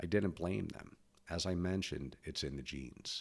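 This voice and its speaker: A man talks at a moderate pace with ordinary pitch variation. Vocal fry runs through his voice. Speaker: podcaster and author. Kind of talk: personal monologue.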